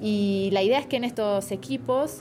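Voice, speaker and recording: A woman with an Argentine accent, fairly high in pitch with ordinary pitch variation, against noticeable background noise. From Argentina, Buenos Aires. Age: 30s. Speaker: political scientist in government digital innovation. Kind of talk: interview.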